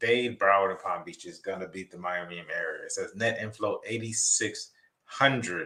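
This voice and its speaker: At a moderate pace, a man speaks on a very clean recording with a silent background. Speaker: real estate agent vlogger. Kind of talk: casual vlog commentary.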